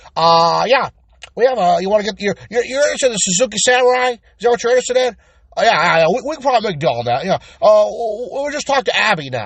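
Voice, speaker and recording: A put-on character voice from a man, high-pitched and very fast. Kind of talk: colloquial, stammering. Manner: weaselly, evasive, hesitant.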